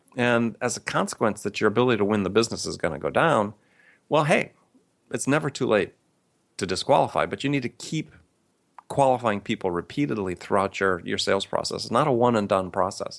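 An ordinary speaking voice from a man, medium in pitch with lively intonation and an American accent, at a fairly quick pace, on a very clean recording over a silent background. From US Midwest (Madison, Wisconsin). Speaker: sales author and consultant. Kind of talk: interview.

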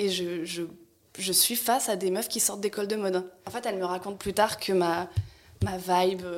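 A woman with a medium pitch has an unremarkable speaking voice. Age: 30s. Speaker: stylist and costume designer, content creator. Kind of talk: casual chat.

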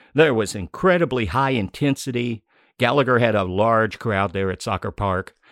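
In an ordinary speaking voice, a man talks at a medium pitch and moderate pace with lively intonation, the sound dry and close with no echo over a quiet background. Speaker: podcast host. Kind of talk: casual chat. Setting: studio.

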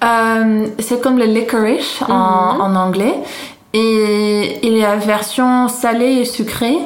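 Speaking very slowly at a fairly high pitch, a woman keeps her loudness very even and her pitch variation ordinary, with noticeable background noise and audible room echo. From Netherlands, Haarlem. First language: Dutch (speaking French). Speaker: Dutch expatriate guest. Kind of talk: casual food interview. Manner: halting.

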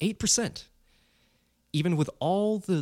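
A man is heard on a very clean recording with a silent background and a dry, close sound with no echo. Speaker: podcast host. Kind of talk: solo rant. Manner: angry, emphatic, scornful.

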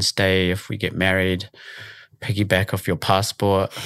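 A man with a New Zealand accent speaks at a moderate pace in a fairly low voice. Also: very clean recording, silent background. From New Zealand, Auckland. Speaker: youth charity director. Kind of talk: casual chat.

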